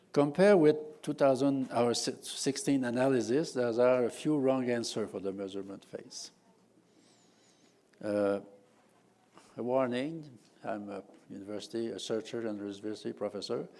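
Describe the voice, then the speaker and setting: A man speaks in a Quebec accent at a moderate pace, with long, frequent pauses. His medium-pitched voice has a dark, mellow tone and ordinary pitch variation. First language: French. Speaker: professor. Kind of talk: conference talk. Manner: halting, many fillers.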